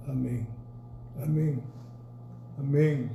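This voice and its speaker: Amid audible room echo, a man speaks at a fairly high pitch in a dark, mellow, somewhat breathy tone with fairly even intonation. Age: 70s. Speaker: pastor and Bible teacher. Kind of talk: church history lecture. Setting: recorded at home.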